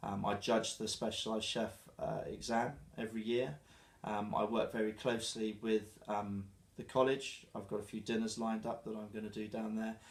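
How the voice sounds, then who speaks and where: At a moderate pace, a man with a southern English accent speaks in a fairly low pitch with monotone, flat intonation. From southern England, Dorset (Christchurch). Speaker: chef. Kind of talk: interview. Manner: halting, with fillers.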